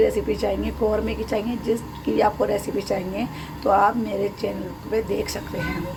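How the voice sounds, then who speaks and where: A woman at a fairly slow pace, with noticeable background noise and audible room echo. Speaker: cooking channel host. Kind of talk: cooking tutorial.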